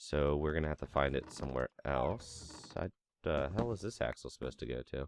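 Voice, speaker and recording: In a dry, close recording with no echo, a man talks fairly quickly in a very deep, low pitch, relaxed in tone and showing vocal fry. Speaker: gaming commentator. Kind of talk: casual let's play commentary.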